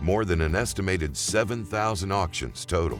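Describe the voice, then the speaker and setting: Over music in the background, a man with a very deep, low pitch talks at a moderate pace with lively intonation. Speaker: documentary narrator. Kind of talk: corporate narration.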